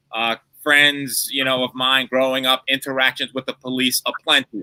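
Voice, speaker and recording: In a New York accent, a man speaks with flat, monotone intonation. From New York City, the Bronx. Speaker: lawyer. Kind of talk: panel discussion. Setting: livestream. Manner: emphatic, rhetorical.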